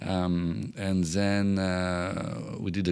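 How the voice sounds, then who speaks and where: A man with a French accent talks at a very deep, low pitch, varying it in an ordinary way. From France. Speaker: entrepreneur. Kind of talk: podcast interview. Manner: halting, many fillers.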